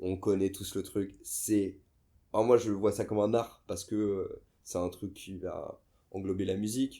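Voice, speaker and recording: A man speaks at a fairly slow pace with a fairly low pitch and a dark, mellow tone. His intonation is monotone and flat, and the recording is very clean with a silent background. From western France, near Nantes. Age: 30s. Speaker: skateboarder and DJ. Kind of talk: casual interview. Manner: hesitant, many fillers.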